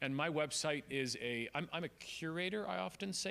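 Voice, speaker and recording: Over a silent background in a very clean recording, a man with a Canadian accent has a bright, sharp tone. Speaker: speaker. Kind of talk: seminar talk. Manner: fast.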